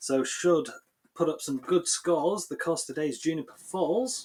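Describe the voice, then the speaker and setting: A man with a strong Yorkshire accent, ordinary pitch variation and a moderate pace. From Yorkshire, northern England. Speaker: game commentator. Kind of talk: live commentary; casual chat.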